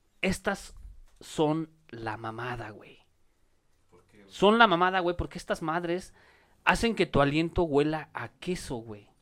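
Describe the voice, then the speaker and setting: With long, frequent pauses and big swings in loudness, a man speaks at a very slow pace in a fairly high pitch with lively intonation. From Mexico City (Iztapalapa). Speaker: comedian. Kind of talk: casual chat with comic storytelling.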